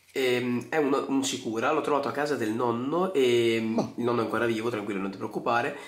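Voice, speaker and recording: The speech runs at a fairly quick pace with hardly any pauses. Noticeable background noise sits behind it. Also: man, medium pitch for a man, ordinary pitch variation. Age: young. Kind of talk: recorded video presentation.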